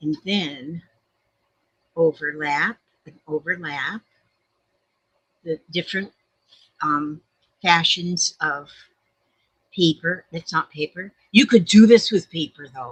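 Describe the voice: Recorded dry and close with no echo, a woman speaks slowly in a low pitch with a slightly husky edge, leaving long, frequent pauses. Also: ordinary pitch variation.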